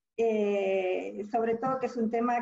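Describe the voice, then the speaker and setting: A woman speaks in a dark, mellow tone that is somewhat breathy. Her intonation stays monotone and flat. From Argentina. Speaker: business school dean and entrepreneurship professor. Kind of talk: webinar talk. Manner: hesitant with fillers.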